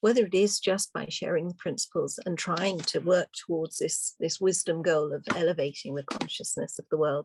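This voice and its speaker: In a normal speaking voice, a woman with a fairly low pitch talks at a moderate pace with ordinary pitch variation and hardly any pauses, the sound dry and close with no echo. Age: 60s. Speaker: webinar participant. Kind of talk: casual chat.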